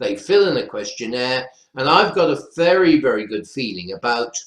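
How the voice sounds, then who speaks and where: In a North Welsh accent, a man talks at a moderate pace with a fairly high pitch and lively intonation. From North Wales. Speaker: professor. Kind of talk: webinar panel discussion.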